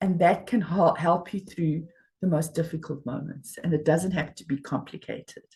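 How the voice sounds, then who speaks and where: A woman talks at a moderate pace in a fairly low, dark, mellow voice that is somewhat breathy. Her intonation stays fairly even while her loudness swings widely. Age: 60s. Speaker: life coach. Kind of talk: interview.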